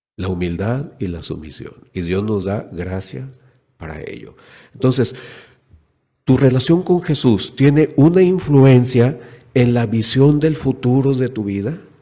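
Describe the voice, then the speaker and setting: A man at medium pitch speaks at a fairly slow pace, his tone dark and mellow. Very wide pitch swings and big swings in loudness come through audible room echo. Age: 60s. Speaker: preacher. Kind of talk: sermon.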